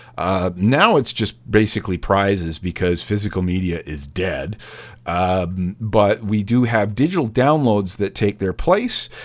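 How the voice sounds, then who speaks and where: In a normal speaking voice, a man talks at a fairly slow pace with fairly low pitch and ordinary pitch variation. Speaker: radio DJ. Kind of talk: radio DJ patter, back-announcing tracks and pitching the membership drive. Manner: casual, chatty, conversational; fills pauses with uh and um.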